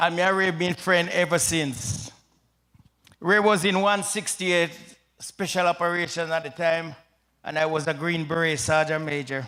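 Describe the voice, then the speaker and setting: In a Jamaican accent, a man speaks with a high pitch and a bright, sharp tone at a moderate pace, using ordinary pitch variation and long, frequent pauses. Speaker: retired soldier and pastor. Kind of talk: eulogy at memorial service. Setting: memorial service with audience.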